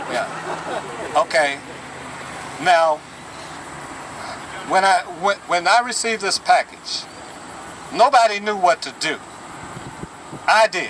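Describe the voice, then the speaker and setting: Long, frequent pauses from a high-voiced man over noticeable background noise. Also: ordinary pitch variation, fairly slow pace. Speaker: retired plant worker, activist. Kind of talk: protest speech. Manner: animated.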